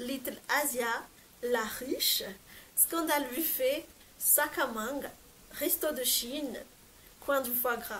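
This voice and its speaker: Speaking at a very slow pace, a woman uses a high pitch and leaves long, frequent pauses. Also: ordinary pitch variation. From Madagascar. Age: 20s. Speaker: lifestyle vlogger. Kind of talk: casual talk to camera. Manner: upbeat.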